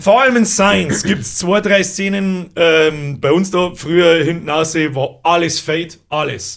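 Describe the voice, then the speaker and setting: Pitched high, a man talks at a fairly slow pace with hardly any pauses and ordinary pitch variation. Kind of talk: casual podcast talk.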